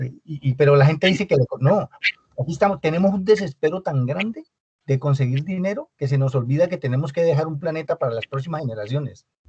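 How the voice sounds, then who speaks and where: A man's very fast, fairly high-pitched voice, dark and mellow in tone and somewhat breathy, with ordinary pitch variation, in a dry, close sound with no echo. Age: 60s. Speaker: business owner, audience participant. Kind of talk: panel discussion. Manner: halting.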